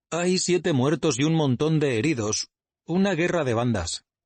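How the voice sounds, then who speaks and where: A man's growling put-on character voice, fairly high in pitch and timid in tone, at a moderate pace with very even loudness. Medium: read story. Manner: timid, polite, deferential.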